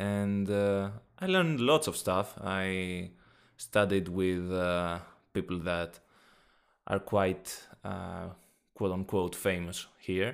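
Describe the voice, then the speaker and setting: A speaker with a Greek accent talks at a very slow pace, leaving long, frequent pauses. The recording is very clean, with a silent background. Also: man, very deep, low pitch for a man. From Greece. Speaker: podcast host. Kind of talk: casual chat. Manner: animated.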